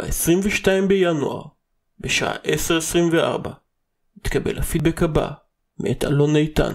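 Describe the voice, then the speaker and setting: A man's fairly high voice at a very slow pace, broken by long, frequent pauses. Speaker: podcast host. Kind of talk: casual chat; reading aloud.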